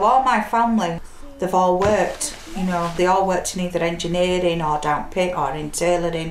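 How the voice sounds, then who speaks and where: In a Yorkshire accent, a woman talks at medium pitch and a moderate pace with ordinary pitch variation, amid audible room echo and noticeable background noise. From Yorkshire, Leeds. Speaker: single mother. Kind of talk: documentary interview.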